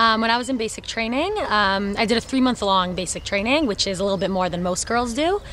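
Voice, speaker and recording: A woman's very fast speech in a New York accent, with ordinary pitch variation, noticeable background noise and audible room echo. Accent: New York American. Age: 20s. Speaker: soldier, shooting instructor. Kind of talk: personal testimony interview.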